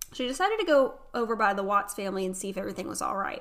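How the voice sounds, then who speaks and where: A woman talks in an animated tone with a Southern US accent. Her voice is bright and sharp. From North Carolina. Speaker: podcast host. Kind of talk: casual chat.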